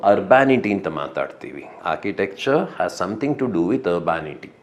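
A man is speaking. His pitch swings very widely. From rural Karnataka, India. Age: 50s. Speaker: architect and writer, bereaved husband. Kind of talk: interview. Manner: reflective, with many pauses.

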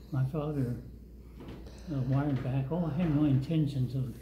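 A somewhat breathy voice with a dark, mellow tone moves at a moderate pace and fairly even intonation, over light background noise and audible room echo. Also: man. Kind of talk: storytelling. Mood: calm, reflective. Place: hall.

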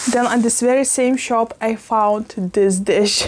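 She talks rather slowly. The voice belongs to a woman. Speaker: plant vlogger. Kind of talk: casual vlog chat. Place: kitchen. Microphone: lapel.

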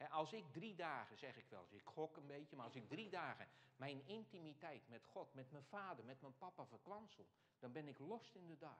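A man keeps a moderate pace, his intonation lively throughout. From Netherlands, Alblasserwaard (South Holland). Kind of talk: Q&A after a lecture. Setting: hall with live audience and microphone. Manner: halting, with many fillers. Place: church. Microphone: lapel.

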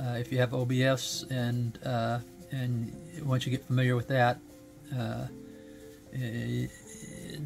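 Clear music plays in the background as a man talks at a medium pitch and a fairly slow pace. His intonation is monotone and flat, with long, frequent pauses. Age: 70s. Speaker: gaming streamer. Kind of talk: product review. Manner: halting, many fillers. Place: home room.

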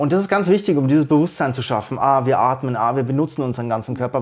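A man at a fairly high pitch and a very fast pace, over a quiet background. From Bavaria, Germany. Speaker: slam poet. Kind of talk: interview answer. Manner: casual. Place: studio. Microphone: lapel.

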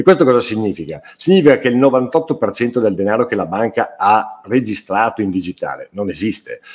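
With lively intonation and a moderate pace, a man talks against a quiet background. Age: 60s. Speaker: writer and publisher; interviewee. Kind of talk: interview. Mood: earnest, indignant. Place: home room. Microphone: webcam.

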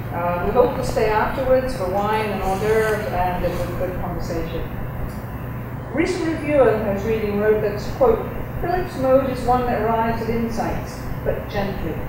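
A woman at a moderate pace, fairly high in pitch with lively intonation, amid noticeable background noise and strong room echo. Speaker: professor. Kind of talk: speech introduction. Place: hall. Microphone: podium.

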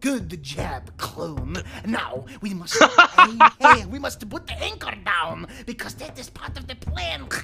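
A put-on character voice moves at a fairly slow pace. Clear music plays in the background. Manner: playful, scheming.

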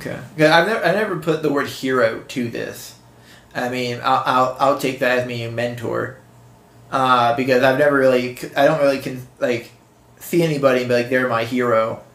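Audible room echo surrounds a man with an American accent speaking at medium pitch and a moderate pace with fairly even intonation. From western Pennsylvania. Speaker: podcast co-host being interviewed. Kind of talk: casual interview. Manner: halting, many fillers and restarts.

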